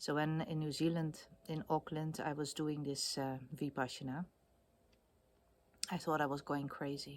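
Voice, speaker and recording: The speaker has a Dutch accent and a monotone, flat intonation. Long pauses come often. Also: woman, very deep, low pitch for a woman, moderate pace. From Netherlands. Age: 50s. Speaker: video blogger. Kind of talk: casual monologue. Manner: hesitant, many fillers.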